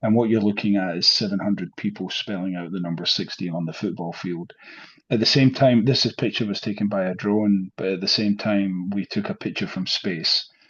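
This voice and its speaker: With a Scottish accent, the speech moves at a fairly quick pace with fairly even intonation. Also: man, fairly low pitch for a man. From Scotland, Glasgow. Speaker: professor. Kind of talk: lecture. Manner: hesitant, many fillers.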